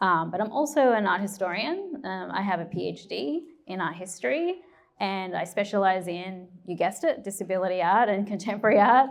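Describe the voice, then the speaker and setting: Speaking at a fairly quick pace with an Australian accent, a woman uses lively intonation at a medium pitch. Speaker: curator and art historian. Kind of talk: panel discussion. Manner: hesitant, many fillers.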